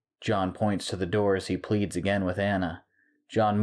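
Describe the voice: A quiet background behind plain reading aloud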